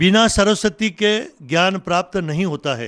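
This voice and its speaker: A high-pitched man on a very clean recording with a silent background. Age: 60s. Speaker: journalist and local news channel host. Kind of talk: monologue talk to camera.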